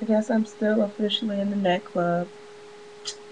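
Noticeable background noise runs beneath a woman's voice. She talks at a moderate pace with ordinary pitch variation. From Chicago. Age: 20s. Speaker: beauty vlogger; vlogger. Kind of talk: casual vlog monologue. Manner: chatty, rambling with fillers and laughs. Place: home room. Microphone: webcam.

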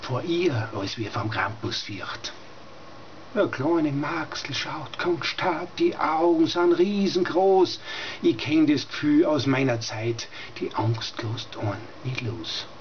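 Lively intonation in a Styrian accent at a very slow pace, over light background noise. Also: man. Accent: Styrian Austrian German dialect. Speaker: dialect poet. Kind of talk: dialect poetry reading. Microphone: webcam.

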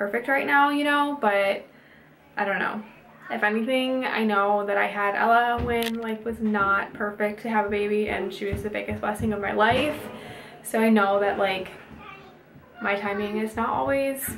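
With music in the background, a woman speaks at a moderate pace with ordinary pitch variation. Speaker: mom vlogger. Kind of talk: casual vlog chat. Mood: excited, emotional. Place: bathroom. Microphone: phone near.

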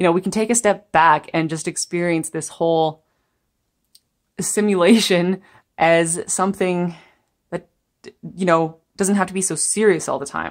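Here a woman talks at a moderate pace and a fairly low pitch. Her intonation stays fairly even over a quiet background. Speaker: tarot reader. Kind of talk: spiritual tarot reading to camera.

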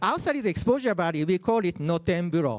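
This man's pitch is high, and he talks at a fairly slow pace. The background is quiet. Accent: Japanese. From Japan. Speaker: open source community organizer; presenter. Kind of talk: lightning talk. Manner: halting, many fillers. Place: hall.

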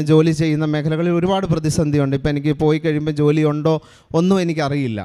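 Fairly high for a man, this voice has a dark, mellow tone and fairly even intonation. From Kerala, Kuttanad. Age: 40s. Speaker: church testimony giver, Gulf worker. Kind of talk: testimony. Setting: church altar.

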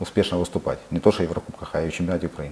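A man speaks in a very deep, low voice. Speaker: football club president and player. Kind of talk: interview. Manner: halting. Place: studio.

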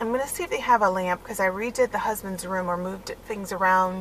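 A woman talks very fast with fairly even intonation. The sound is dry with no echo, and there is light background noise. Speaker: stay-at-home mom vlogger. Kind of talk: casual vlog chat. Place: car. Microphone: phone near.

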